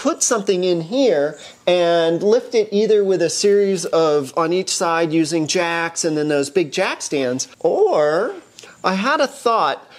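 At a fairly slow pace, a woman talks in a normal speaking voice with a fairly low pitch. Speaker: car hobbyist host. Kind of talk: tutorial. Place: garage. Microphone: camera far.

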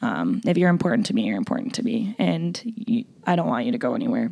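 Talking at a very fast pace, a woman uses a dark, mellow tone with vocal fry. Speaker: makeup artist. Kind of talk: casual chat. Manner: loud.

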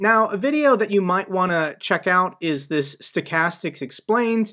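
At a moderate pace, a man speaks in a raised, projected voice with a bright, sharp tone and lively intonation over a quiet background. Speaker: finance youtuber. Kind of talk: commentary. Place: home room.

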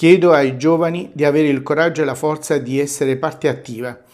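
The man's intonation is monotone and flat. He speaks at a fairly quick pace. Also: quiet background. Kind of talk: formal commemorative address. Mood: solemn and earnest. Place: office. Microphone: lapel.

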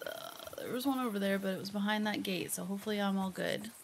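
With an American accent and a fairly high pitch, a woman speaks amid audible room echo and noticeable background noise. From US Midwest, Ohio. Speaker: gaming streamer. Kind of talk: let's play commentary. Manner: animated.

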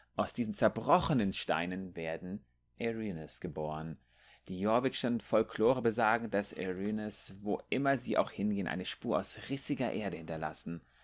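The recording is very clean with a silent background. A man speaks at a moderate pace and fairly low pitch, with ordinary pitch variation. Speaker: gaming youtuber. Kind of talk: reading out game lore text aloud, in a narration style, with commentary before and after; casual gaming commentary. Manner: casual and chatty, animated.

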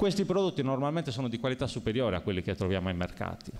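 A man talks very fast at a medium pitch. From Sardinia. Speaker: local election candidate; election candidate. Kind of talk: candidates' debate. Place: hall. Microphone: podium.

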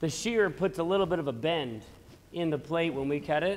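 With normal rises and falls in pitch, a man's speech moves along at an average speed. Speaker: welding teacher. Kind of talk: tutorial. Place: workshop.

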